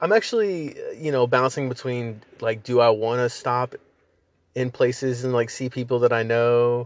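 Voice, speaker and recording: A man's normal speaking voice at medium pitch, moderate pace and fairly even intonation. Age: 30s. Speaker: podcast host. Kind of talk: casual monologue. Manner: casual, rambling with fillers.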